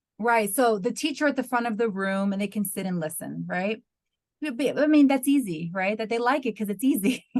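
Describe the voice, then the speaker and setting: Using a normal speaking voice, a woman with an American accent talks at a fairly quick pace with lively intonation and a fairly high pitch. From US, New York. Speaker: university lecturer in English language teaching. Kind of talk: webinar Q&A answer.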